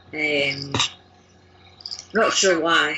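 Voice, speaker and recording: A woman speaks in a fairly low voice over noticeable background noise. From Lanarkshire, near Glasgow, Scotland. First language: Scots. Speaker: language learner, blogger, course creator. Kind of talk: interview answer.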